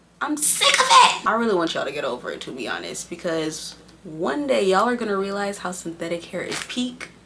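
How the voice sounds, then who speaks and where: A woman talks at a fairly quick pace with hardly any pauses and very wide pitch swings. There is audible room echo and noticeable background noise. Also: medium pitch for a woman. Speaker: beauty vlogger. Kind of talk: hair tutorial. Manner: casual, chatty.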